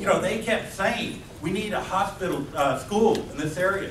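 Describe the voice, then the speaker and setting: A loud, high male voice with lively intonation, over noticeable background noise and audible room echo. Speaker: city council candidate. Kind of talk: candidate forum statement. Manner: animated.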